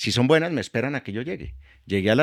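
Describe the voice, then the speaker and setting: On a very clean recording with a silent background, a man speaks with lively intonation in a dry, close sound with no echo. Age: 60s. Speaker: energy executive. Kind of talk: interview; testimony.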